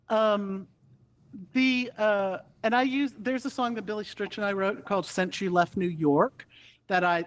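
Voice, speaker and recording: A woman's normal speaking voice with ordinary pitch variation. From Texas (Houston). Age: 60s. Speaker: songwriter. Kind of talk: casual chat.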